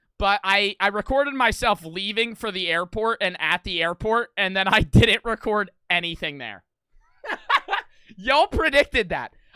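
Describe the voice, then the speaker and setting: A man's high-pitched, raised, projected voice, animated and bright, sharp in tone, at a moderate pace with lively intonation, in a dry, close sound with no echo on a very clean recording with a silent background. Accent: American. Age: 20s. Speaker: streamer. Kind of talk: casual livestream chat.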